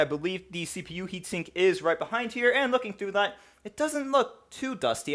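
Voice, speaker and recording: The pitch of this man's voice swings very widely. His delivery is fairly quick. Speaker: tech YouTuber. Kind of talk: tutorial. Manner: fast.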